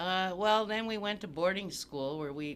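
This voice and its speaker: Speaking at a moderate pace, a man with an Upper Midwest accent uses lively intonation. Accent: Upper Midwest American. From US Midwest, Saint Paul, Minnesota. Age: 70s. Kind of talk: oral history interview.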